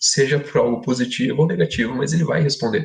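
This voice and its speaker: Here a man speaks in a somewhat breathy voice. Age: 20s. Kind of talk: podcast discussion, testimony. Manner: conversational, informal.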